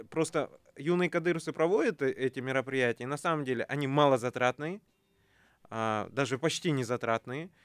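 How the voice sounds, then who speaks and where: A man talks at a moderate pace in a fairly high voice, an ordinary speaking voice with ordinary pitch variation. The recording is very clean, with a silent background and dry, close sound with no echo. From Kazakhstan. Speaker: youth movement leader, government adviser. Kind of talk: radio talk show discussion. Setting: radio studio.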